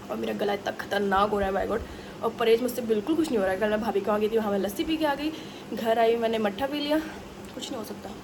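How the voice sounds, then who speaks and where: Over noticeable background noise, a woman speaks very fast in a fairly high, animated voice with ordinary pitch variation. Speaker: family vlogger. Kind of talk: casual vlog talk. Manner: chatty, animated.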